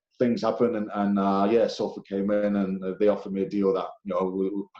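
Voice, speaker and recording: This man's voice is fairly low in pitch, with a dark, mellow tone. He talks at a fairly quick pace with monotone, flat intonation. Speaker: professional rugby league player. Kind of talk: casual interview chat. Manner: halting, many fillers.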